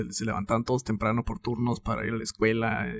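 A man talks at a very fast pace. He speaks with a Mexican accent. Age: 30s. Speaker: podcast host. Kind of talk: casual chat.

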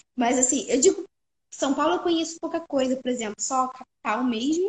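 High-pitched female speech full of lively intonation. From Rio de Janeiro, Brazil. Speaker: voice actress. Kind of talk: casual chat. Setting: live stream. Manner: animated; frequent laughter.

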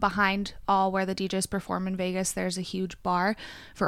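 A woman speaks in an ordinary speaking voice at a medium pitch. Her pace is moderate. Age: 20s. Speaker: waxing specialist. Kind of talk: casual chat. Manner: frequent laughter.

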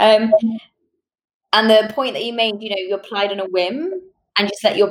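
A woman with a British accent and fairly high pitch, talking at a very fast pace. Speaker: podcast host. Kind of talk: interview.

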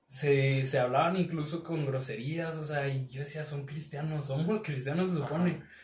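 A man's fairly high, somewhat breathy voice at a moderate pace, with hardly any pauses, fairly even intonation and audible room echo. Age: 30s. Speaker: church youth leader. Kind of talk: casual chat.

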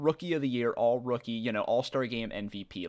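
On a very clean recording with a silent background, a man with an unremarkable speaking voice talks at a moderate pace. His medium pitch carries a lively intonation. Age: 20s. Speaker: basketball podcast co-host. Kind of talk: casual chat.

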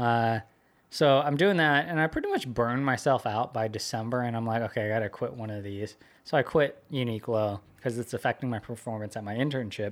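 In a normal speaking voice, a man talks at a fairly quick pace and medium pitch with ordinary pitch variation, on a very clean recording with a silent background. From US West Coast, California Bay Area. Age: 20s. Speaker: social media marketer. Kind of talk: casual interview chat. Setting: studio.

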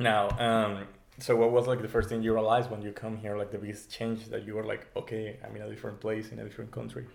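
In a Spanish accent, a man with a fairly low pitch talks at a very fast pace in a monotone, flat intonation, his loudness swinging widely, with audible room echo. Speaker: podcast co-host. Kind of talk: casual chat.

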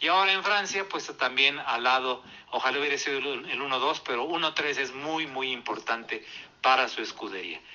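A man speaks in a plain, everyday voice, fairly high in pitch. His pace is moderate, with ordinary pitch variation. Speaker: motorsport commentator. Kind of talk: casual chat.

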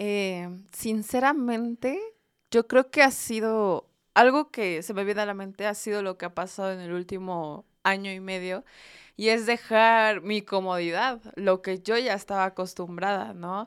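A woman speaks at a fairly slow pace in a normal speaking voice, medium in pitch with ordinary pitch variation. Her loudness swings widely, and the recording is very clean with a silent background. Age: 20s. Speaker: university student and church youth volunteer. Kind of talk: casual faith-based podcast chat.

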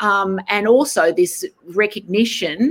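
Her pitch varying in an ordinary way, a woman speaks with an Australian accent. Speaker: novelist. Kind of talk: panel discussion. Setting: video call.

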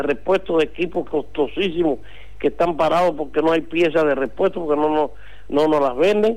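A man's fairly high-pitched, plain, everyday voice at a moderate pace, with ordinary pitch variation. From Cuba. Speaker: doctor. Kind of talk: interview.

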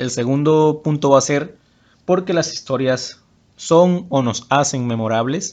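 A man has a plain, everyday voice, fairly high in pitch with ordinary pitch variation. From Mexico, Tabasco (Huimanguillo). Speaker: podcast host, personal development coach. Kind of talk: motivational talk.

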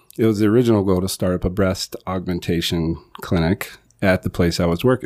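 Speaking in a normal speaking voice, a man has an American accent and a fairly low pitch. His pace is moderate, with ordinary pitch variation. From South Carolina. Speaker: plastic surgeon and aesthetic injector. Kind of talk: casual chat.

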